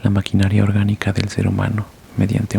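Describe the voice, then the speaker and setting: Against noticeable background noise, a soft-spoken man talks at a fairly quick pace. His fairly low pitch stays monotone and flat. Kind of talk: horror story reading. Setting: home bedroom.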